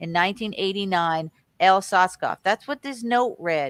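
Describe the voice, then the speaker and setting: An ordinary speaking voice at a moderate pace, with a dry, close sound and no echo on a very clean recording with a silent background. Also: woman. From California. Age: 60s. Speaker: conspiracy researcher. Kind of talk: reading aloud news articles with commentary.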